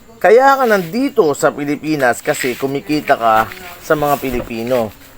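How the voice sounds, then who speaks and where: Over noticeable background noise, a man speaks at a moderate pace with a fairly high pitch and very wide pitch swings. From Philippines. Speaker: reaction video creator. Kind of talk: commentary rant. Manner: animated.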